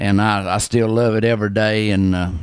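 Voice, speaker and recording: This speaker talks at a fairly quick pace. The accent is North Carolina. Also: man. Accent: Southern US (North Carolina). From US South, western North Carolina. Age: 60s. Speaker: barber, shop owner. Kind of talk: interview. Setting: barber shop. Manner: halting, many fillers.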